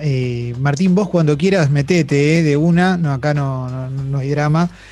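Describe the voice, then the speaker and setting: Using a plain, everyday voice, a man speaks at a fairly high pitch with fairly even intonation and hardly any pauses. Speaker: podcast host. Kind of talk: casual interview.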